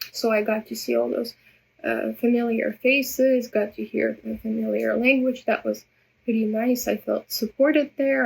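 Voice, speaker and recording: A woman with a Russian accent speaks at a moderate pace. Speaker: vlogger. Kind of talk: personal vlog monologue. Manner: halting, many repetitions.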